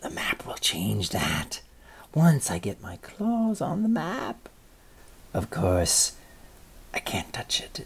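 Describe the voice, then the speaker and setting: A man whispers in a put-on character voice at a very slow pace. Long pauses come often. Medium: read story. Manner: grumbling, scheming.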